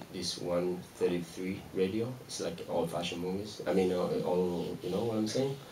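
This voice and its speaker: Over light background noise, a man with a Spanish accent speaks with ordinary pitch variation. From Argentina. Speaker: film director; guest. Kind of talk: audience Q&A after a film screening. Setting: stage with audience at a cinema. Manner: halting, repeats words. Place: stage. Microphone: handheld.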